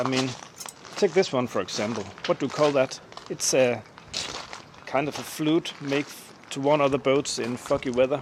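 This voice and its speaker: A man with a Danish accent and medium pitch, over noticeable background noise. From Denmark. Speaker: boat owner, DIY maintenance YouTuber. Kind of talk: tutorial. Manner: casual, with filler hesitations.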